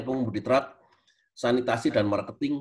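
A man's medium-pitched voice moves along at a fairly quick clip. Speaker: university lecturer, speaker. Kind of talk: webinar lecture.

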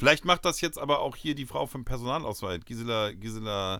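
Bright and sharp in tone, a man at medium pitch speaks at a fairly quick pace in a very clean recording with a silent background. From northern Germany, Lower Saxony (Uelzen). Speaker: comedy podcast co-host. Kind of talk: casual comedic chat.

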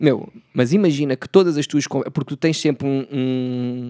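Here is a man with an unremarkable speaking voice, using ordinary pitch variation at a moderate pace. The sound is dry and close, with no echo. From Portugal, Setúbal. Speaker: podcast host. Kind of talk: casual chat.

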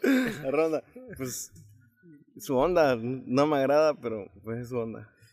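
Very slow pace with long, frequent pauses and ordinary pitch variation. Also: man, fairly high pitch for a man. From Arriaga, Chiapas, Mexico. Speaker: musician. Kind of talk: casual chat. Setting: on location at a roadside eatery.

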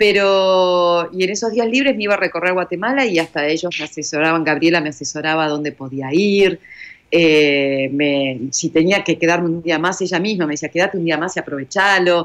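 A woman with a plain, everyday voice talks at a moderate pace, with fairly low pitch and ordinary pitch variation. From Argentina. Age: 50s. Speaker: journalist, volunteer traveler. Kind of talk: interview, personal testimony.

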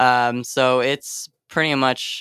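In an American accent, a man speaks with a bright, sharp tone, captured in a very clean recording with a silent background and a dry, close sound with no echo. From US West, Sacramento, California. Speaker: electronic musician. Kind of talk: interview. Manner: halting, many fillers.

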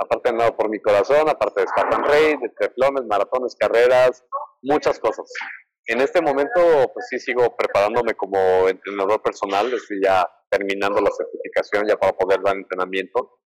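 A man talks at a fairly quick pace, with a dry, close sound and no echo. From Mexico City. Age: 30s. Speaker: cancer survivor and motivational speaker. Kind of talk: interview testimony.

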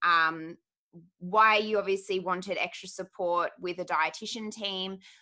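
With an Australian accent, a woman speaks at a medium pitch and a moderate pace. Her tone is bright and sharp, and the background is quiet. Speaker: dietitian and podcast host. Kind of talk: casual interview chat.

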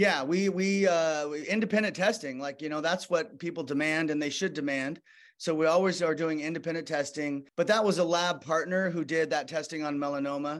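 With an American accent, the speaker moves at a fairly quick pace and shows ordinary pitch variation. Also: man, fairly high pitch for a man, hardly any pauses. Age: 50s. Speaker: physician and skincare founder. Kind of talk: interview. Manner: hesitant, many fillers.

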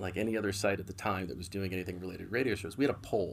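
Speaking very fast with an American accent, a man uses a fairly low pitch. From US, San Francisco Bay Area. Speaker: tech executive. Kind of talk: interview conversation.

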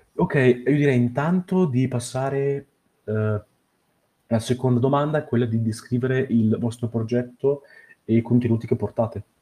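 At a moderate pace, a man with a medium pitch and ordinary pitch variation speaks in a dark, mellow, somewhat breathy tone, leaving long, frequent pauses. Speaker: podcast interviewer. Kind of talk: casual interview chat. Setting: online call.

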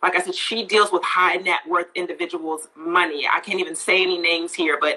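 Against noticeable background noise, a woman with a fairly low pitch talks in an animated tone at a fairly quick pace, with ordinary pitch variation. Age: 40s. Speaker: skincare product co-founder. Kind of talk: casual interview.

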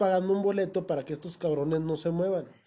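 A man's high-pitched voice with a dark, mellow tone at a fairly quick pace. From Mexico. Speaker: podcast host. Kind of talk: casual chat. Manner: animated.

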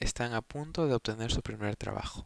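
In a dry, close sound with no echo, a man speaks at a medium pitch with fairly even intonation. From Peru. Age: 20s. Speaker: podcaster. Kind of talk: casual monologue. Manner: hesitant, many filler words.

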